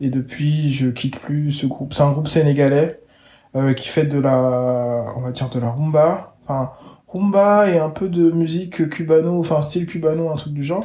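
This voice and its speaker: A man's fairly high, somewhat breathy voice carries a dark, mellow tone and ordinary pitch variation. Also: moderate pace. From Gabon (Libreville). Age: 20s. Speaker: artist agent and art enthusiast. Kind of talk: interview. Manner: hesitant, many fillers and repetitions.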